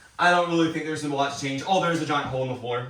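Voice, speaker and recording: A man with a fairly high voice speaks with ordinary pitch variation amid audible room echo and noticeable background noise. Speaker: homeowner renovating a historic house. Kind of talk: walkthrough video tour. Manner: casual, with many fillers.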